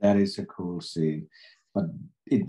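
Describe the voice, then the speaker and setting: With a Finnish accent, a man speaks at a fairly low pitch in a dark, mellow tone. His pace is fairly slow, and the background is quiet. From Finland. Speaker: film director. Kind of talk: interview. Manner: halting. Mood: relaxed, cheerful. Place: home room. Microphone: video call.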